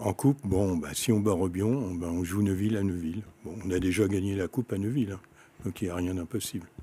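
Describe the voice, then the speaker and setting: Speech moves along fairly quickly. Its tone sounds dark and mellow. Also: man, very deep, low pitch for a man. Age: 70s. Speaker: sports club president. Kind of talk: interview.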